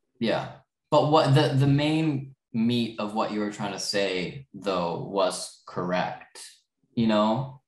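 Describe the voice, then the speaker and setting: Someone speaks at a very slow pace, with audible room echo over a quiet background. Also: man, ordinary pitch variation. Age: young. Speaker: podcast co-host, movie fan. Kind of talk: casual chat. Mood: earnest, explaining leaving. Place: home room. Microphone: webcam.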